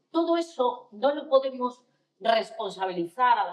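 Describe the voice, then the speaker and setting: A woman's fairly high voice at a fairly slow pace. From Spain, Asturias (Gijón). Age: 60s. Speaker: panelist. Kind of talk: panel discussion. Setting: stage with audience. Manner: animated.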